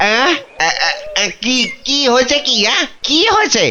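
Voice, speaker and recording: Over clear background noise, a high-pitched cartoonish character voice talks at a moderate pace. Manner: sleepy, easygoing.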